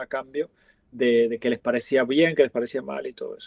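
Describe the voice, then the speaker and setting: With an Argentine accent, a man speaks at a medium pitch in a dry, close sound with no echo. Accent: Argentine, noticeable. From Argentina. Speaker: restaurant chain founder. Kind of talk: interview.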